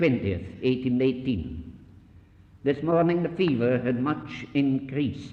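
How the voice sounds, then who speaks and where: Speaking at a fairly slow pace, a man uses lively intonation at medium pitch with vocal fry. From Scotland. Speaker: missionary. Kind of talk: lecture.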